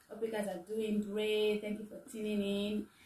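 A woman's voice carries audible room echo. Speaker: home cooking vlogger. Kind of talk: casual vlog chat. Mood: cheerful, laughing often. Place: kitchen. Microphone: phone near.

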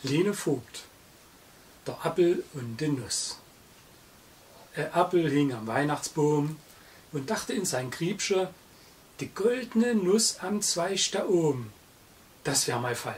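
The voice moves at a very slow pace with very wide pitch swings and long, frequent pauses. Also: man, fairly high pitch for a man. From Saxony, Germany. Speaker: narrator's father reciting a poem. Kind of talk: poetry reading. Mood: festive, humorous. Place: home room.

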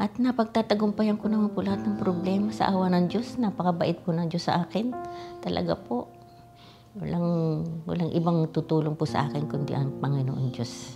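Clear music plays in the background while a woman speaks with a fairly low pitch and very wide pitch swings. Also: moderate pace. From Philippines. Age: 80s+. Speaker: OB gynecologist. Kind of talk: interview answer. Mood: calm, reflective, devout. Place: home room.

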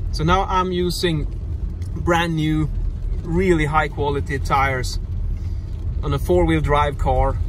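The sound is dry with no echo and light background noise. A man speaks at a fairly slow pace. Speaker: driver vlogger. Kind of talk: casual vlog chat. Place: car. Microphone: phone near.

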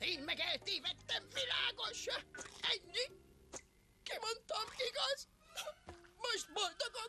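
An extremely high, put-on character voice is broken by long, frequent pauses. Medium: fan dub. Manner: defensive, whiny, embarrassed.

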